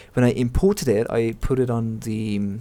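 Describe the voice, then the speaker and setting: Medium in pitch and dark, mellow in tone, a man's voice moves at a moderate pace. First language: not English. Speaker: game developer tutorial creator. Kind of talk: tutorial. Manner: halting, many fillers and repeats; casual.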